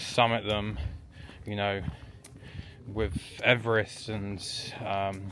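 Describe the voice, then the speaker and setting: A man with fairly low pitch speaks at a very slow pace. His intonation stays fairly even, broken by long, frequent pauses. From England. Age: 20s. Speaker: travel vlogger and hiker. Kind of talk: casual vlog talk. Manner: hesitant, many fillers.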